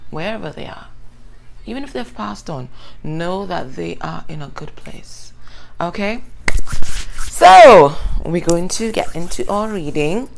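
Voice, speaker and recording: A woman's voice with vocal fry, very wide pitch swings and long, frequent pauses. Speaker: tarot reader. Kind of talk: casual tarot reading chat. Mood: warm, upbeat. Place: home room. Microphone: phone near.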